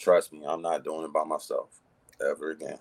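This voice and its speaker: Recorded with a dry, close sound and no echo, a man talks at a fairly quick pace. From US South, High Point, North Carolina. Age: 30s. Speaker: filmmaker and DJ. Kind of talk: interview.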